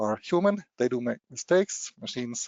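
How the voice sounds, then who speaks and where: Speaking fairly quickly, a man lets his pitch rise and fall across a very wide range. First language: German. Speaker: machine translation technology presenter. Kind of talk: webinar presentation. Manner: halting, many repetitions and fillers.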